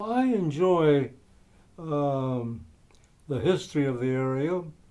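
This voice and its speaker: A man with an American accent talks at a very slow pace, his fairly high voice full of lively intonation. Room echo can be heard around him. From US West, Taft, California. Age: 80s+. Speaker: local historian and war veteran. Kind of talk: interview reminiscence. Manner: halting, frequent fillers.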